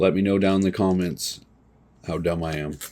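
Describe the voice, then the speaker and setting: This man's voice sits very deep and low. He talks at a moderate pace. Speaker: comic book collector and seller. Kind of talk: casual collection showcase video. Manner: casual, hesitant with fillers.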